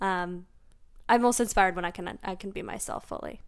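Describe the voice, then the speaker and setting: With an American accent, a woman talks at a medium pitch in an unremarkable speaking voice, her intonation fairly even. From central Massachusetts. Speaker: marketing professional. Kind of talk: casual chat.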